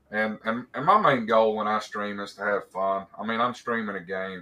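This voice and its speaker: Speaking in an Appalachian accent, a man with fairly low pitch talks at a moderate pace in a monotone, flat intonation. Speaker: game streamer. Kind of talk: casual interview chat. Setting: live stream.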